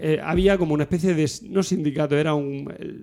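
Dark, mellow tone with ordinary pitch variation. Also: man. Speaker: podcast co-host. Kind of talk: casual chat among friends, humorous.

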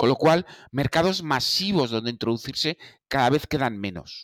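Talking at a moderate pace, a man uses a plain, everyday voice with medium pitch. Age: 50s. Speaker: Apple expert. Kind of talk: casual discussion.

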